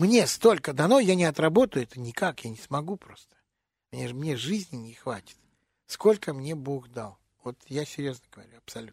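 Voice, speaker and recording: On a very clean recording with a silent background, a man speaks at a moderate pace with very wide pitch swings and big swings in loudness. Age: 60s. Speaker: jazz and blues vocalist. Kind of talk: radio interview.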